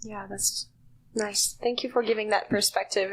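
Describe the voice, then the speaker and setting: Fairly even intonation and a moderate pace in a fairly high-pitched female voice. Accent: French. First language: French. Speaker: podcast host. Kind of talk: casual chat.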